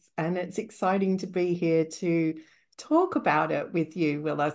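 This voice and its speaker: A woman speaks at a fairly low pitch against a quiet background. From Australia. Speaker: medium and tutor. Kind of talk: podcast interview.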